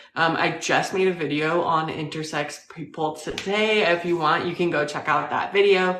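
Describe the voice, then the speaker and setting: Audible room echo surrounds a woman's voice. She speaks at a fairly low pitch with monotone, flat intonation. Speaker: live stream host interviewing strangers. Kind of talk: casual live stream chat. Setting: live video call.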